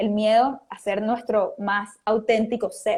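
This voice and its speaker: A woman's fairly high-pitched voice. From Venezuela. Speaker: motivational speaker and author. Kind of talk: interview. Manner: animated.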